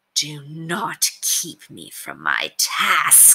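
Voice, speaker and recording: A put-on character voice. It comes out as a growl. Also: woman. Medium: read story. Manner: haughty, imperious.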